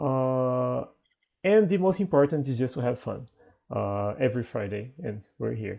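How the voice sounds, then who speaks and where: A man talks at a medium pitch with a dark, mellow tone. His intonation is lively and his pace fairly slow. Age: 20s. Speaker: English teacher and host. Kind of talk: online conversation class. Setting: video call.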